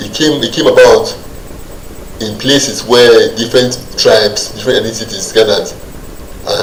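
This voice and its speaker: At a fairly quick pace a man talks, with noticeable background noise behind him. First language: Nigerian Pidgin. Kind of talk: talk-style explainer. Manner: hesitant, halting.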